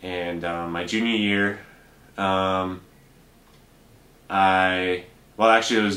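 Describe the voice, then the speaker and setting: In a bright, sharp tone, a man with an American accent and a very deep, low pitch talks amid audible room echo. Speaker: bank teller and Spanish interpreter. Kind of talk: interview. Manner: hesitant, many fillers.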